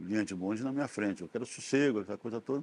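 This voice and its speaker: In a Rio de Janeiro accent, a man speaks at a medium pitch with ordinary pitch variation. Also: quiet background. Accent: Rio de Janeiro Brazilian Portuguese (carioca). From Brazil, Rio de Janeiro. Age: 80s+. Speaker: retired geologist. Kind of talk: oral history interview. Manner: halting, with many fillers.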